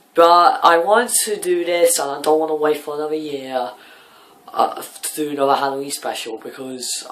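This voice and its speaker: A man's voice over noticeable background noise. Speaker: film reviewer youtuber. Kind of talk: casual vlog intro. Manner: halting, many fillers.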